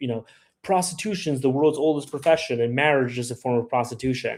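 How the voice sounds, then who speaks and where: A man's medium-pitched voice with a dark, mellow tone, ordinary pitch variation, an American accent and a fairly quick pace. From USA. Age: 30s. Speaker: live streamer on travel and dating abroad. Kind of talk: live stream chat answering viewers. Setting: live stream. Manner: casual, filler-heavy with repetitions.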